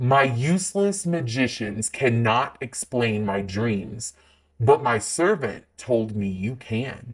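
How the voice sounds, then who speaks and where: Someone performs a put-on character voice with lively intonation. The pace is fairly slow. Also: man, medium pitch for a man. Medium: read story. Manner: commanding, regal.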